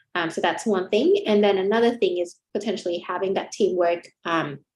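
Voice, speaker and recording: The speech comes with a Vietnamese accent at a fairly quick pace. Its intonation stays fairly even. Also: woman. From Vietnam, Ho Chi Minh City. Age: 20s. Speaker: chartered accountant. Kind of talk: webinar interview. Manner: hesitant, many fillers.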